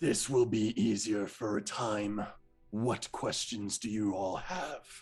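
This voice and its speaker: Putting on a raspy character voice, a man speaks fairly slowly at a fairly low pitch. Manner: eerie, calm, otherworldly.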